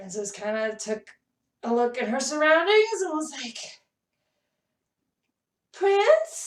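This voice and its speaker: Putting on a character voice at a high pitch, a woman talks at a fairly slow pace with very wide pitch swings and long, frequent pauses. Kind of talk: children's storytelling. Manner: animated, expressive.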